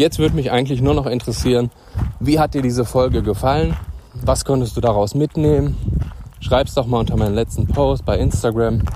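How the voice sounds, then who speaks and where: Over noticeable background noise, a man talks fairly quickly at a medium pitch. His intonation is lively and his loudness very even. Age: 30s. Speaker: personal development podcaster. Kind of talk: motivational monologue. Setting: outdoors. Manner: animated.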